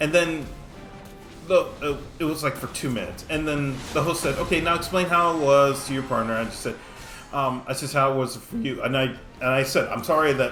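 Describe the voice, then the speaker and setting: With noticeable background noise and audible room echo, a man talks at a fairly quick pace in a fairly high pitch. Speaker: mobile game streamer. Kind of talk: gameplay commentary with storytelling. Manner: stuttering, halting; casual.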